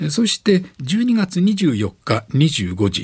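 A man's somewhat breathy voice with very wide pitch swings. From Onomichi, Hiroshima, Japan. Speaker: retired radio announcer. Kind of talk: lecture. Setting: studio.

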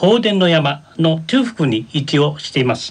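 An unremarkable speaking voice from a man, fairly high in pitch, with lively intonation at a fairly slow pace. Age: 60s. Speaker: senior college student reporter. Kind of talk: explanation on radio. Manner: formal.

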